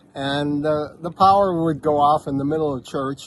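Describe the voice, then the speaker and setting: A man talks at a moderate pace in a fairly high pitch, with an unremarkable speaking voice. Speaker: missionary preacher. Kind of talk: casual interview.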